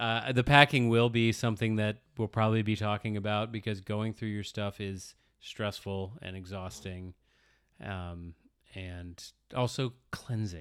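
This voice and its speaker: The recording is very clean with a silent background. A man with an ordinary speaking voice talks at a fairly slow pace and fairly low pitch, with big swings in loudness. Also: fairly even intonation. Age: 40s. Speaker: podcast co-host. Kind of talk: casual chat.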